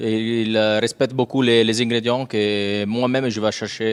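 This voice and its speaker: With a slight Italian accent, a man speaks at a fairly slow pace in monotone, flat intonation. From Rome, Italy. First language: Italian (speaking French). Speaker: restaurant chef. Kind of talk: interview. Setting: hotel restaurant on location.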